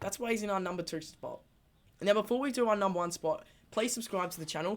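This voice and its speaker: A woman speaks very fast in an Australian accent with an animated tone. Her pitch varies in an ordinary way. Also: medium pitch for a woman. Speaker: footy fan channel host. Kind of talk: casual vlog commentary.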